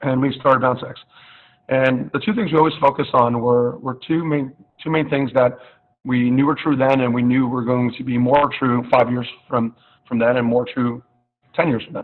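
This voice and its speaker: The intonation stays fairly even as a man talks at a medium pitch. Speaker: startup founder and CEO. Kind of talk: online pitch presentation. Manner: fast; loud.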